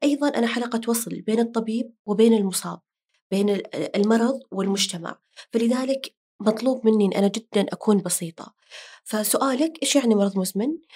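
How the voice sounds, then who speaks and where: Her voice sits fairly high in pitch. This woman has a dark, mellow tone. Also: ordinary pitch variation, moderate pace. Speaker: diabetes health educator. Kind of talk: casual chat. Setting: studio.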